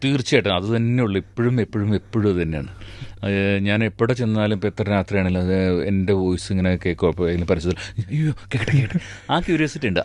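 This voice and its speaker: A man has an unremarkable speaking voice with a fairly low pitch. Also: lively intonation. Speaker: dubbing artist; mimicry artist. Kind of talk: radio interview answer. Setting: radio studio.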